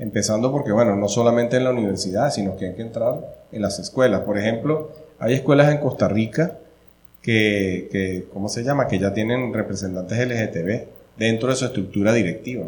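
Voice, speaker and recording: This man has a medium pitch and ordinary pitch variation. Audible room echo surrounds his voice. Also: fairly quick pace. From Venezuela. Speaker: family-advocacy event organizer. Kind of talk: interview conversation.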